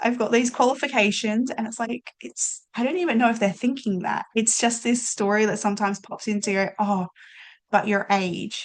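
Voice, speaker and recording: A plain, everyday voice from a woman, fairly high in pitch, with ordinary pitch variation and a moderate pace. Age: young. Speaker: life coach and podcast host. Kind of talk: casual chat.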